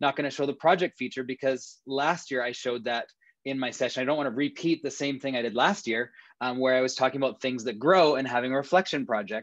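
The background stays quiet. Against it, a man rattles off his words at a very fast pace. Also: ordinary pitch variation, dry sound with no echo. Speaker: presenter. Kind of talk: timed demo commentary. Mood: playful, ironic. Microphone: webcam.

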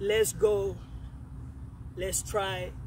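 There is noticeable background noise as a man speaks, the sound dry with no echo. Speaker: fitness coach. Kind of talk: motivational workout talk. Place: open country.

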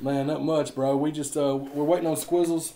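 The voice has a dark, mellow tone and a fairly quick pace. Room echo is audible. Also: man.

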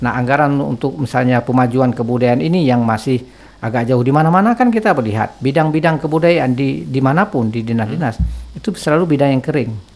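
Lively intonation at a very fast pace. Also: man, hardly any pauses. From Aceh, Indonesia. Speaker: anthropologist, university lecturer; university lecturer. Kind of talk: interview, expert commentary. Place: studio. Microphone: studio mic.

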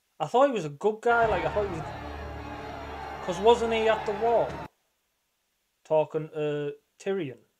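Lively intonation carries a man's moderately paced speech, with noticeable background noise behind him. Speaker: reaction video host. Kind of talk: casual reaction commentary. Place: home room.

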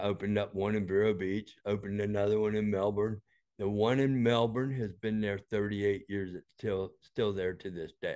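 A man speaks with an American accent in a fairly low, dark, mellow voice. His intonation is flat and monotone against a quiet background. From Florida. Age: 60s. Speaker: health device inventor; interview guest. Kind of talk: interview. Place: office.

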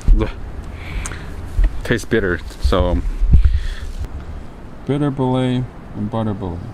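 A man with a fairly low pitch speaks at a slow pace, with ordinary pitch variation. Background noise is clearly audible.

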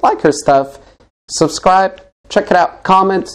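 A man with an American accent and an ordinary speaking voice talks at a fairly slow pace with ordinary pitch variation. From Colorado, US. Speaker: interview show host. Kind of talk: casual interview chat. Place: studio.

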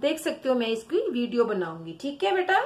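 Here a woman is speaking. Her voice swings very widely in pitch. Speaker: teacher. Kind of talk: lesson for young children. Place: home room. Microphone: phone near.

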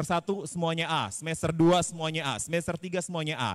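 This man talks at a fairly quick pace in a high pitch, his tone animated. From Indonesia. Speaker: public speaking trainer. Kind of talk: workshop. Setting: stage with audience. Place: hall. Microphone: handheld.

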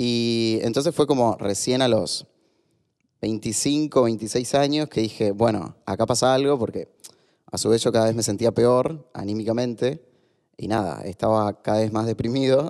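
With ordinary pitch variation, a man talks at a fairly slow pace. Nothing stirs in the quiet background. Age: 30s. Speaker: author and LGBT activist; podcast guest. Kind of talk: casual interview. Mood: reflective, personal storytelling. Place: studio. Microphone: studio mic.

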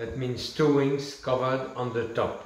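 Very slow speech from a man, amid audible room echo. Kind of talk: direct-to-camera presentation. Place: home room. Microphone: camera far.

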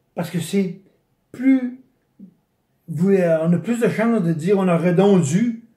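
Speaking at a very slow pace, a man uses a high pitch and a dark, mellow tone with ordinary pitch variation, and audible room echo sits over a quiet background. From Quebec, Chaudière-Appalaches region; Quebec. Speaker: retired bicycle retailer, brain injury survivor; interviewee. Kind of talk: interview testimony. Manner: halting, many repetitions. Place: home room. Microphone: phone near.

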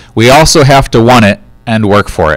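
With a quiet background and a dry sound with no echo, a man speaks at a moderate pace with ordinary pitch variation. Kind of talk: school announcement address. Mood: upbeat, encouraging. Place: studio. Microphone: handheld.

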